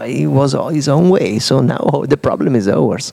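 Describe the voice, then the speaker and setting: Fairly slow, medium-pitched speech from a man, noticeable noise behind it. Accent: Italian. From Italy, Udine. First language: Italian. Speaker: digital artist. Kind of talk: interview about his exhibition. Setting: live recording at an exhibition space.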